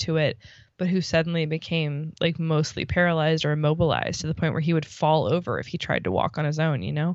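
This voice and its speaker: With an American accent, a woman talks at a fairly quick pace and a fairly low pitch. Hers is an ordinary speaking voice. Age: 30s. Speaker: podcast co-host. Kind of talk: casual chat.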